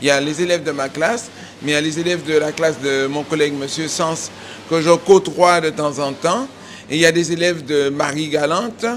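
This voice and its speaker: Noticeable background noise sits behind a man talking at a moderate pace and a fairly high pitch. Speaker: cooking teacher and head chef. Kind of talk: casual interview and kitchen instructions. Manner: loud.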